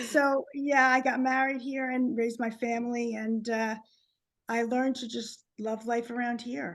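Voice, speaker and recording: Moderate pace and fairly even intonation in a New Jersey accent. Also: woman, high pitch for a woman. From New Jersey, Short Hills. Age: 50s. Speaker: author. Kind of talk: casual interview chat.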